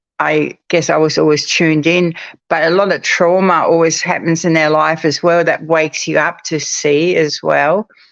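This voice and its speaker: A woman with a fairly low pitch speaks at a moderate pace in a monotone, flat intonation, her loudness very even. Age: 60s. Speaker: psychic medium. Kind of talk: casual chat. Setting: live stream.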